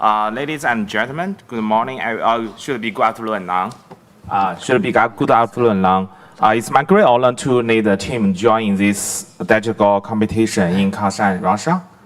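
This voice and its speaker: There is noticeable background noise as a man speaks at medium pitch and a moderate pace, with ordinary pitch variation. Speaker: interpreter. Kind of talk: consecutive interpreting. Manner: halting.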